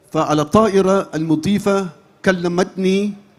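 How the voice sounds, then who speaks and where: The speech moves at a very slow pace with fairly even intonation while noticeable background noise runs underneath. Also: man. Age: 60s. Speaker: Islamic preacher and imam. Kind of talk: sermon to a large gathering. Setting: large religious gathering.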